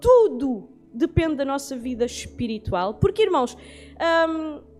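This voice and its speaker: Music plays in the background as a woman speaks at a moderate pace. Her intonation is lively. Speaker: bible class teacher. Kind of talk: bible lecture.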